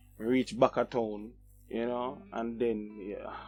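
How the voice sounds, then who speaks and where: A man at medium pitch with a Jamaican accent, music in the background. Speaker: vlogger. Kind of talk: casual talk to camera.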